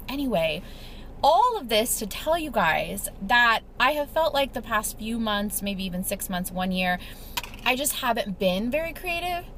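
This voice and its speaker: A woman's fairly high, animated voice with very wide pitch swings, fairly slow pace and noticeable background noise. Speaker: lifestyle vlogger. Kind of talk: casual chat. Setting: in a car. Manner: chatty, animated.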